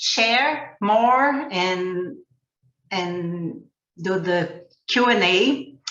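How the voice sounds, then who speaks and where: Speaking in a Portuguese accent, a woman keeps a medium pitch. Audible room echo is present. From Brazil. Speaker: ecovillage educator and trainer. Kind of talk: webinar presentation.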